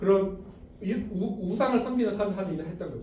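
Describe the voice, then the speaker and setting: Over noticeable background noise and audible room echo, a high-pitched man speaks in an animated tone. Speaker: bible teacher. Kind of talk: lecture. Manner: fast.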